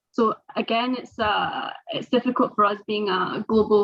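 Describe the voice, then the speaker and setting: Speaking in a Scottish accent, a woman uses a medium pitch with fairly even intonation. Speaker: sports governance professional. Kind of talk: panel webinar discussion. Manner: halting, many fillers.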